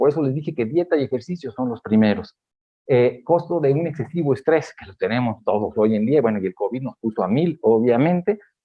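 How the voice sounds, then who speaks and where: A man at a fairly quick pace, with lively intonation and big swings in loudness. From Mexico. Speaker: geriatrician. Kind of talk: lecture. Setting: auditorium with audience.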